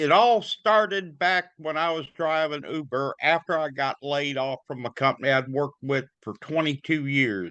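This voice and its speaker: In a fairly high, bright and sharp voice, a man speaks with an Alabama accent at a moderate pace with hardly any pauses. The background is quiet. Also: ordinary pitch variation. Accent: US Southern (Alabama). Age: 70s. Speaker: notary public. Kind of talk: casual interview. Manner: halting.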